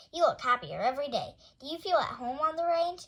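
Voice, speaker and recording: A woman's put-on character voice, extremely high-pitched, very fast, with ordinary pitch variation. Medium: read story.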